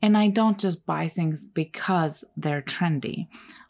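Speaking with a Turkish accent at a fairly slow pace, a woman uses a fairly low pitch and ordinary pitch variation on a very clean recording with a silent background. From Turkey. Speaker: podcast host, artist. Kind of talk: solo podcast monologue. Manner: casual, laughs often.

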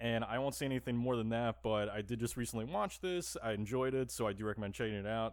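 A man at medium pitch, talking at a very fast pace with very even loudness, ordinary pitch variation and hardly any pauses. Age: 30s. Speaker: horror podcast host. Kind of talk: casual chat. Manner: halting.

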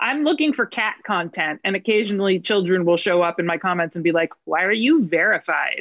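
In an American accent, a woman speaks fairly quickly with hardly any pauses and lively intonation. She has an ordinary speaking voice at a medium pitch. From New Jersey. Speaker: actress. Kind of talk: casual interview chat. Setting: video call.

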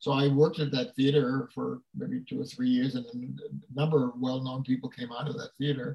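A man speaks at a moderate pace with hardly any pauses, his medium-pitched voice somewhat breathy and his intonation monotone and flat. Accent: American. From Brooklyn, New York. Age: 90s. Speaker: actor and former news anchor. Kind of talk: casual interview chat.

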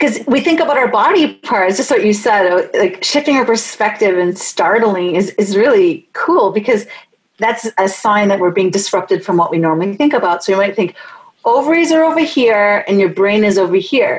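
A woman with an ordinary speaking voice, fairly high pitch, lively intonation, very even loudness and a moderate pace. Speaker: podcast host and researcher. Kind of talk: interview conversation.

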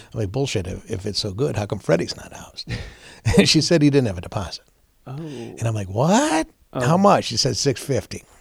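A somewhat breathy man of medium pitch with an American accent, making very wide pitch swings. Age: 60s. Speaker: veterans charity founder and former stand-up comedian. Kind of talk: casual interview chat. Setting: his office.

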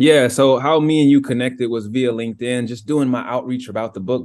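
A man with a medium-pitched voice talks with hardly any pauses in an ordinary speaking voice. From US South, Georgia. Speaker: author and former college athlete. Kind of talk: interview.

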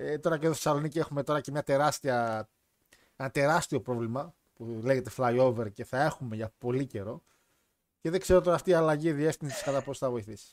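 A man talks fairly quickly in an ordinary speaking voice, pitched fairly high, his pitch varying in an ordinary way. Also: dry, close sound with no echo. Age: 20s. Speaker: podcast host. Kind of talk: casual chat.

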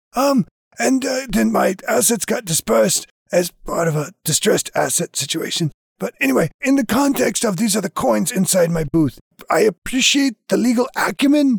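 Putting on a raspy character voice, a man talks at a moderate pace in a high pitch with very wide pitch swings.

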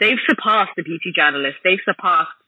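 Speaking with a London accent, the voice makes very wide pitch swings. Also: woman. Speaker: esthetician and beauty blogger. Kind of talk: interview conversation.

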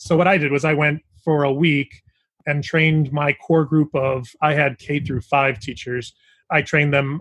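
At a moderate pace, a man speaks in a fairly high, somewhat breathy voice with fairly even intonation. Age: 40s. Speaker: elementary school teacher and author. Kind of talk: interview. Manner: halting.

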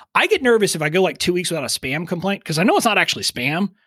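A man with a South Texas accent speaks at a high pitch with lively intonation. The sound is dry and close with no echo, on a very clean recording with a silent background. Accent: Southern Texas drawl. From Southern Texas. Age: 40s. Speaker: email marketing expert. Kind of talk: casual interview chat. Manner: relatable, humorous, down-to-earth.

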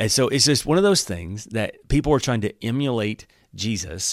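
A man with an Alabama accent speaks fairly low in pitch at a moderate pace with ordinary pitch variation, in a very clean recording with a silent background. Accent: Southern US (Alabama). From US South. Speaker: pastor. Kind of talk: Bible teaching podcast. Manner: casual, animated.

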